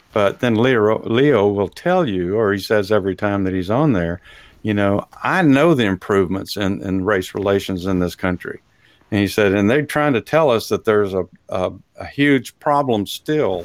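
In a very clean recording with a silent background, a man speaks with a Texas accent. His pitch is fairly low and his intonation lively. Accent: Texas drawl. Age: old. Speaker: talk show host. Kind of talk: casual chat.

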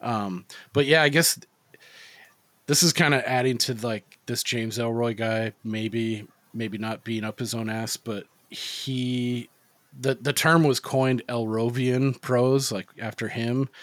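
A man speaks at a fairly slow pace in an ordinary speaking voice, his medium pitch moving with fairly even intonation. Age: 30s. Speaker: podcast host. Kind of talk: casual chat.

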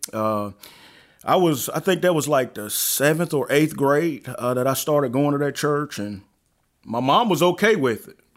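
In a Southern US accent, a man with a fairly high voice speaks at a moderate pace, his intonation lively and his loudness swinging widely. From Alabama. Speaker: pastor. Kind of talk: interview.

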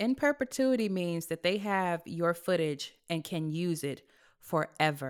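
In a plain, everyday voice with an American accent, a woman speaks at a fairly slow pace with a fairly low pitch and lively intonation. The recording is very clean, with a silent background. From California. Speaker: actress. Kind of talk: casual chat.

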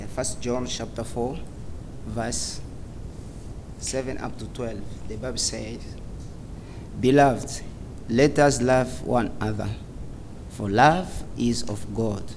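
Over noticeable background noise, a man speaks very slowly with long, frequent pauses, a medium pitch and ordinary pitch variation. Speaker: church member reading scripture and praying. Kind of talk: scripture reading and prayer. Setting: church with audience.

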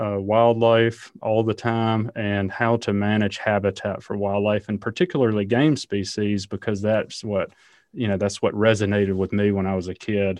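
Against a quiet background, a man talks at a moderate pace with a fairly low pitch and fairly even intonation. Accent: Southern US. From Alabama, US South. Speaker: ecologist and university professor. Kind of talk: interview.

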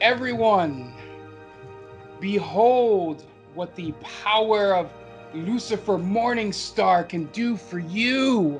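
A booming, put-on character voice at a middle pitch moves at a very slow pace with long, frequent pauses. Clear music plays in the background. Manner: booming, theatrical villain.

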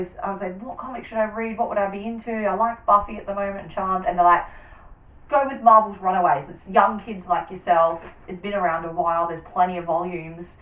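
With an Australian accent, a woman speaks very fast at a medium pitch with ordinary pitch variation and big swings in loudness, against noticeable background noise. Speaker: podcast host. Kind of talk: casual chat.

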